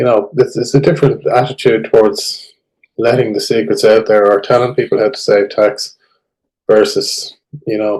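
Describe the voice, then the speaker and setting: A man speaks at a moderate pace with an Irish accent. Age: 60s. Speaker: tax expert. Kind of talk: casual interview.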